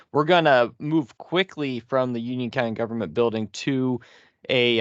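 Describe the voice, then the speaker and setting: This is an ordinary speaking voice from a man at a medium pitch with ordinary pitch variation. He keeps a moderate pace, and the sound is dry and close with no echo. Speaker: training organizer. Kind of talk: meeting wrap-up announcements. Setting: video call.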